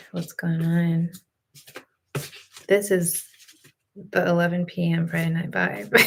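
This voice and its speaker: A woman whispers in a somewhat breathy voice. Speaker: tarot card reader streamer. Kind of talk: live stream tarot reading. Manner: whispering; casual.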